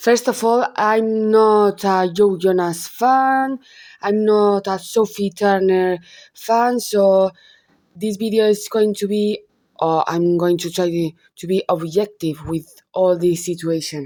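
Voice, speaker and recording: A woman with a Spanish accent speaks very slowly in a dark, mellow tone at medium pitch, with ordinary pitch variation, on a very clean recording with a silent background. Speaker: gossip YouTuber. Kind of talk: casual commentary vlog. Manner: halting, self-correcting.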